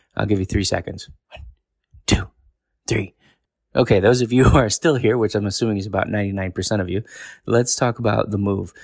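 A man speaks at a fairly quick pace in a fairly low, somewhat breathy voice with ordinary pitch variation. Long, frequent pauses break up his speech. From New York. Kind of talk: casual monologue with prophetic teaching.

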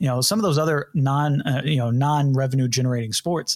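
On a very clean recording with a silent background, a man with a fairly high, somewhat breathy voice talks at a fairly quick pace with ordinary pitch variation. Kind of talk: casual chat. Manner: halting, filler-heavy.

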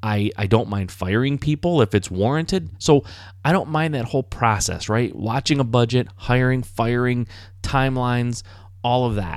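Recorded very cleanly against a silent background, a man with an American accent and an unremarkable speaking voice talks at a moderate pace and medium pitch with lively intonation. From Michigan, US. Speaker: podcast host, house flipper. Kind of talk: solo podcast monologue. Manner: conversational, with fillers and restarts.

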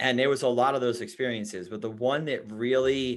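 A man in a New York accent at a moderate pace, with ordinary pitch variation and a quiet background. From New York City (Queens), then Long Island. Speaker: life coach and endurance athlete. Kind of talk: podcast interview.

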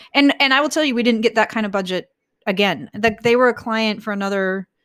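A woman with an American accent talks at a fairly quick pace, her pitch fairly high and her intonation lively. It is an ordinary speaking voice on a very clean recording with a silent background. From northern US. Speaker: agency owner. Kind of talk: interview.

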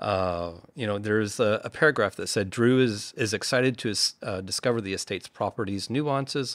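On a very clean recording with a silent background, a man speaks at a fairly quick pace. He has an unremarkable speaking voice, fairly low in pitch, with ordinary pitch variation. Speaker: podcast host. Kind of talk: interview conversation.

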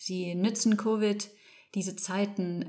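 At a very slow pace and with fairly even intonation, a woman speaks with a medium-pitched voice over noticeable background noise. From Spain, Barcelona (German parents). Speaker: landscape architect. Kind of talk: interview. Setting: studio. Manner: halting, searching for words.

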